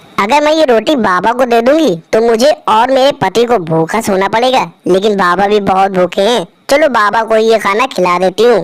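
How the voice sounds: A cartoonish character voice, female-sounding and fairly high in pitch for a woman, runs at a moderate pace with hardly any pauses.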